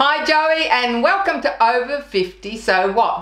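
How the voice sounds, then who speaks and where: Against a quiet background with audible room echo, a woman with an Australian accent speaks very slowly, her pitch swinging very widely. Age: 50s. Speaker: web show host. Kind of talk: scripted presenting; interview.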